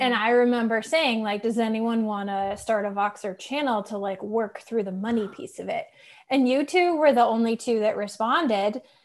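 Here is an ordinary speaking voice, delivered at a moderate pace and showing ordinary pitch variation. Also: woman, fairly high pitch for a woman, quiet background. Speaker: life coach. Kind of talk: casual chat.

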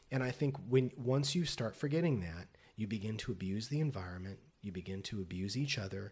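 Fairly quick, somewhat breathy speech from a man of medium pitch with lively intonation, in a very clean recording with a silent background. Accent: American. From Las Vegas, US West. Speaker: poet and professor. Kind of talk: casual interview. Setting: in person, Los Angeles.

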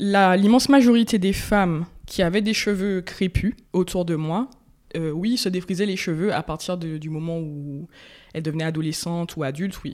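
With an unremarkable speaking voice, a woman speaks at a moderate pace and fairly low pitch with ordinary pitch variation, in a very clean recording with a silent background. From Martinique. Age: 20s. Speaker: interviewee sharing hair journey. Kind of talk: interview.

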